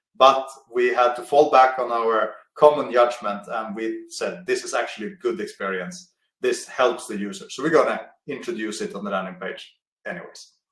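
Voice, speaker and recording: Lively intonation and big swings in loudness ring out in audible room echo. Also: man, medium pitch for a man. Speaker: conversion optimization expert. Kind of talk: webinar presentation. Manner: fast.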